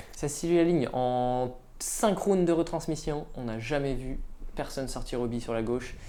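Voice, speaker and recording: A woman's very deep, low voice with a dark, mellow tone and ordinary pitch variation, at a fairly slow pace amid audible room echo. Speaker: disc golf commentator. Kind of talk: live sports commentary.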